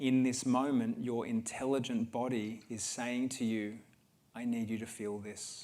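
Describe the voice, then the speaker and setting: Speaking at a fairly slow pace, a man holds a medium pitch in a monotone, flat intonation. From Australia. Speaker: healer speaking at a wellness event. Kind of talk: guided talk to an audience. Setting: livestreamed event with audience.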